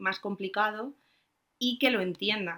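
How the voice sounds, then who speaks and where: Fairly slow speech in a bright, sharp tone with ordinary pitch variation, on a very clean recording with a silent background. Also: woman. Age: 20s. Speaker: secondary school literature teacher. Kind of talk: casual chat.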